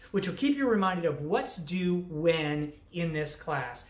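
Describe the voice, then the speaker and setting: The speech moves at a fairly slow pace, with audible room echo around it. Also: woman. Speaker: college instructor. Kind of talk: course introduction talk. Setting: recorded online lecture video. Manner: casual, with many fillers. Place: home room. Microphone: webcam.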